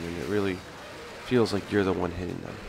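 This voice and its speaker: With music in the background, a man talks at a very deep, low pitch. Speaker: video game commentator. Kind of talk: gameplay tutorial commentary. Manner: casual.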